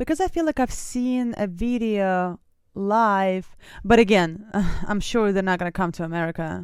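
In a Russian accent, a woman talks at a moderate pace with an animated tone. Her medium-pitched voice shows ordinary pitch variation. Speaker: music reaction youtuber and singer. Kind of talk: casual reaction commentary.

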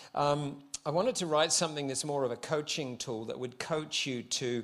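With a New Zealand accent, a man speaks at a moderate pace in a fairly high pitch and with fairly even intonation. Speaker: visiting pastor. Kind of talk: sermon. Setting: church service.

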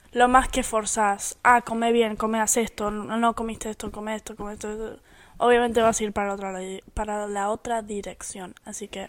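Speaking in a monotone with flat intonation, a woman is heard on a very clean recording with a silent background. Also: fairly high pitch for a woman, moderate pace, big swings in loudness. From United States (born in Argentina). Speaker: podcast co-host. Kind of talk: casual chat.

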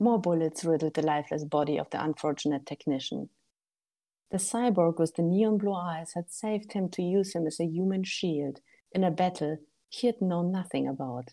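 Woman with a German accent, fairly low in pitch, dark and mellow in tone, with ordinary pitch variation and a moderate pace, over a quiet background. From Germany. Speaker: author and game writer. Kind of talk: casual interview chat.

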